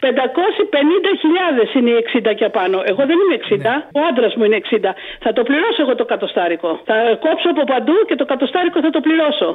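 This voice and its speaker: A woman speaks at a moderate pace in a high voice, her pitch swinging very widely while her loudness stays very even, over noticeable background noise. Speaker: caller. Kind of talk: phone-in chat. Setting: phone call.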